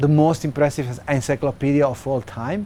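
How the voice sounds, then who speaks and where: Fairly high-pitched male speech in a Serbo-Croatian accent, with ordinary pitch variation and noticeable background noise. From former Yugoslavia. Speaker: activist and software developer. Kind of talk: interview. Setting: festival. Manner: hesitant, many filler sounds.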